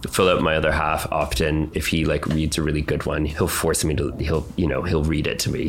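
With music in the background and audible room echo, a man with a very deep, low pitch talks very fast in fairly even intonation. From Canada, then UK. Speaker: fashion designer. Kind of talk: interview.

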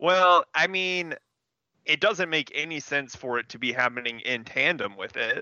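A man with an unremarkable speaking voice talks at a moderate pace. His pitch is fairly high and his intonation lively. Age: 30s. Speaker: comic book podcast co-host. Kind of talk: casual chat.

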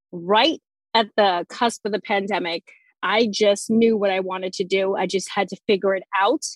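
A woman with a New Jersey accent speaks at a fairly high pitch and a moderate pace, with ordinary pitch variation. The sound is dry and close, with no echo. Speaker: sensory play educator, former teacher. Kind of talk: casual interview chat.

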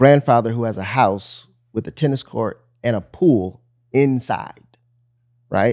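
A man with an unremarkable speaking voice talks at a fairly slow pace, medium-pitched with ordinary pitch variation, on a very clean recording with a silent background. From US Midwest, suburban Detroit, Michigan. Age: 30s. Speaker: teaching pastor. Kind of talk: casual conversation, faith interview.

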